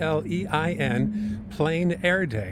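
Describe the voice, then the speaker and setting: Over noticeable background noise, a man with a medium-pitched voice speaks with very wide pitch swings. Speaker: news reporter. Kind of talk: field reporter segment.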